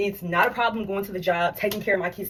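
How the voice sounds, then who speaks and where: A somewhat breathy woman at a fairly quick pace. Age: 30s. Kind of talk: casual talk to camera. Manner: candid, unfiltered.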